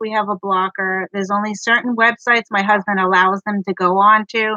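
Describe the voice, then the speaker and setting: With an American accent, a woman speaks at a moderate pace in a fairly high pitch and monotone, flat intonation. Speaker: book vlogger. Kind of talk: casual live stream chat.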